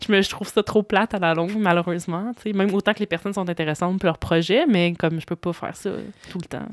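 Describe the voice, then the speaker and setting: She talks at a very fast pace. Her medium-pitched woman's voice keeps fairly even intonation. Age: 30s. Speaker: stage director and author. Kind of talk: casual chat.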